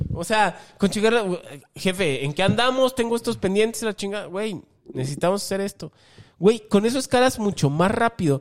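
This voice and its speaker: The recording is very clean, with a silent background. A man with a Mexican accent speaks in a high pitch and lively intonation. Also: moderate pace. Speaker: podcast co-host and musician. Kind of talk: casual comedic chat.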